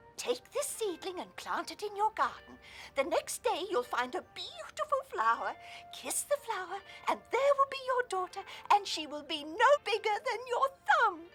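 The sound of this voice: An extremely high, cartoonish character voice swings very widely in pitch at a moderate pace over clear background music.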